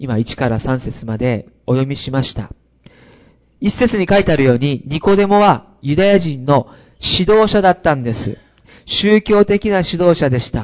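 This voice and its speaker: A man speaks at a fairly high pitch, his voice making very wide pitch swings. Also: moderate pace. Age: 40s. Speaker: pastor. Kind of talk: sermon. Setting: church.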